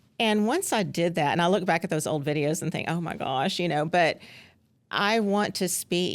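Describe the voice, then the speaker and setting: A woman with a Southern US accent speaks in a fairly low voice with ordinary pitch variation, on a very clean recording with a silent background. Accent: Southern US drawl. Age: 50s. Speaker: former school principal. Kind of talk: casual interview chat. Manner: hesitant, many fillers.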